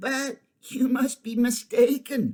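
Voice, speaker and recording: Putting on a character voice, a man rasps at an extremely high pitch with monotone, flat intonation. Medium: read story.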